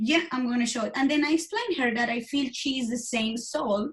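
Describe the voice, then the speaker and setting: The woman's pitch varies in an ordinary way as she speaks. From Colombia. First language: Spanish. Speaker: IVF coach. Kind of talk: interview. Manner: halting.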